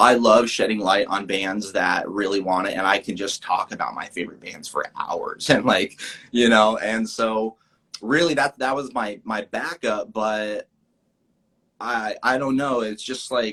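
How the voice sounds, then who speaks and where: A bright, sharp tone at a fairly slow pace, with ordinary pitch variation. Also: man, medium pitch for a man. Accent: American. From Idaho, USA. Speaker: actor. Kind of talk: interview answer.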